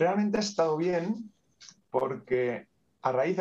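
This man speaks with lively intonation. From Catalonia, Spain (Terrassa, Barcelona province). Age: 50s. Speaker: bank manager and aspiring coach. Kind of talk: interview. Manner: talkative.

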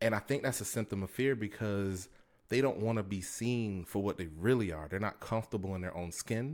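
A man talks at a fairly quick pace in an ordinary speaking voice, with fairly low pitch and ordinary pitch variation. The recording is very clean, with a silent background. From Tampa, Florida. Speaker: podcast host. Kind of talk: casual monologue. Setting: home recording. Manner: conversational, with fillers.

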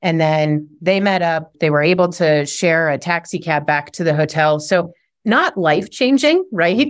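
A woman with an unremarkable speaking voice talks at a moderate pace in a fairly low pitch with ordinary pitch variation, on a very clean recording with a silent background. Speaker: app founder. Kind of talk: interview conversation.

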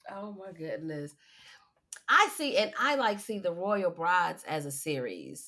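This woman has an unremarkable speaking voice at medium pitch. Her intonation is lively, with big swings in loudness. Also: fairly slow pace. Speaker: podcast host. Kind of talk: casual interview chat.

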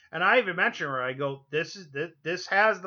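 The voice has a bright, sharp tone and speaks with an American accent. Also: man. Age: 40s. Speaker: podcast host. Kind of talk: casual chat.

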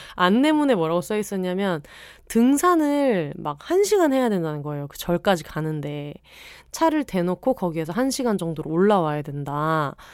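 A woman's medium-pitched, animated voice at a moderate pace, with very wide pitch swings and big swings in loudness, on a very clean recording with a silent background. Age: 30s. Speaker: podcast host and writer. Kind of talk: casual solo podcast monologue. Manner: animated, chatty.

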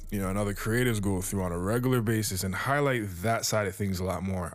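A fairly quick pace drives the delivery. The man's pitch is fairly low. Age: 30s. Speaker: music producer and podcast host. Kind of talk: casual solo podcast monologue. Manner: laid-back, lots of fillers.

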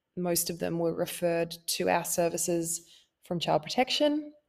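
A woman is speaking. She has an Australian accent. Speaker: therapist. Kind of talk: solo podcast talk. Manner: casual, warm.

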